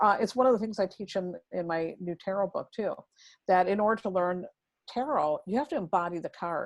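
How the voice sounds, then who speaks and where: A woman speaks at a fairly quick pace in an American accent, her pitch medium with ordinary variation. The background is quiet. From US Midwest, rural Wisconsin near Milwaukee. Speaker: tarot reader. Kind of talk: interview conversation. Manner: fast; animated.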